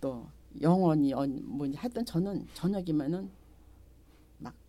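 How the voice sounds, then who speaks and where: Very slowly, a woman speaks in a very deep, low pitch with a dark, mellow tone. Her pitch swings very widely. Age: 70s. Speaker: market shop owner. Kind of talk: interview.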